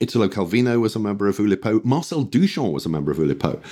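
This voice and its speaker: A man's dark, mellow voice carries vocal fry. His pitch swings very widely. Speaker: games designer and historian. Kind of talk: interview chat. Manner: hesitant, self-deprecating.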